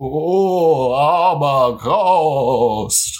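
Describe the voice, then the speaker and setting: A man's put-on character voice, fairly high in pitch. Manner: spooky.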